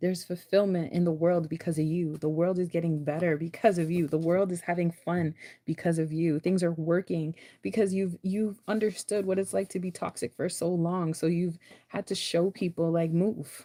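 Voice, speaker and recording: A woman's dark, mellow voice in a flat monotone, on a very clean recording with a silent background. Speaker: spiritual tarot reader. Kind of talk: tarot reading. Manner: fast; casual, repetitive.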